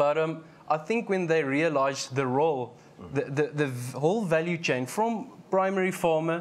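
This man's voice sits at a fairly high pitch and moves at a moderate pace. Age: 20s. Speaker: financial analyst, chartered accountant; financial analyst. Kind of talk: panel discussion. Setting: live broadcast studio at an agricultural show with student audience. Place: studio. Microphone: lapel.

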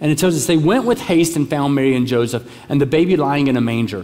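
A man speaks with an American accent at a fairly high pitch. His pace is moderate, and his pitch variation is ordinary. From US South. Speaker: pastor. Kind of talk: sermon. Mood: warm, humorous at times. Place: church. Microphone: headset.

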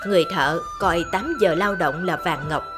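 A woman at a fairly slow pace, with very wide pitch swings and music in the background. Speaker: radio MC, narrator. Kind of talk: life-philosophy radio narration.

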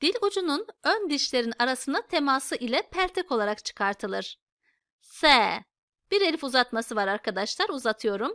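A woman's high, bright, sharp voice with very wide pitch swings and very even loudness, on a very clean recording with a silent background and a dry, close sound with no echo. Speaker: Quran reading teacher. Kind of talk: tutorial. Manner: slow, repeating letter sounds for learners.

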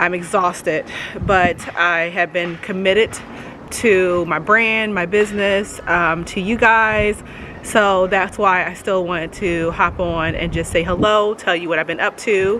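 Over light background noise, a woman talks at a fairly slow pace with fairly even intonation. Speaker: vlogger. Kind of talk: casual vlog chat. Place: garden. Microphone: phone near.

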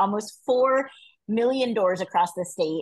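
At a moderate pace, the voice has an enthusiastic tone. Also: woman, quiet background. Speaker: regional field director. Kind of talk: online briefing. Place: home room. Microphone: video call.

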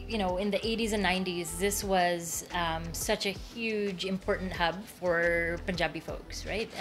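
Clear music plays behind a woman whose intonation stays fairly even. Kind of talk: interview answer. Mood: warm, nostalgic. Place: shop. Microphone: lapel.

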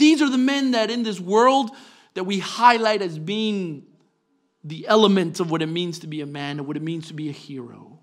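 Against a quiet background, a man speaks at a moderate pace with a high pitch. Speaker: preacher. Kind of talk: sermon. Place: church. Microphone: podium.

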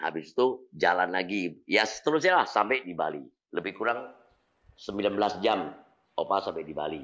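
A man talks at a moderate pace, and the background stays quiet. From Indonesia, North Sumatra (Medan). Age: 60s. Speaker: YouTuber. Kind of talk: casual Q&A vlog. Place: home room. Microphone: lapel.

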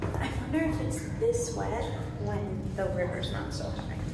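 A woman speaks at a very slow pace. Loud background noise and audible room echo fill the recording. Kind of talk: casual vlog chat. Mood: excited, playful. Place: tunnel cave. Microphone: phone near.

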